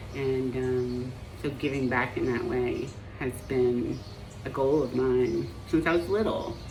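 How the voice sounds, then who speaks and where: In an American accent, a woman speaks at a very slow pace with a very deep, low pitch and ordinary pitch variation, amid audible room echo and noticeable background noise. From Appalachia, US. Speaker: marriage and family therapist. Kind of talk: personal vlog monologue. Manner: hesitant, many fillers.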